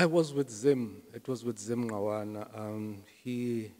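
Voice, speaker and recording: A man with a South African accent, at a fairly slow pace with ordinary pitch variation. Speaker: jazz pianist and music lecturer. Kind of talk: casual interview. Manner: halting, many fillers. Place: studio. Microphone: handheld.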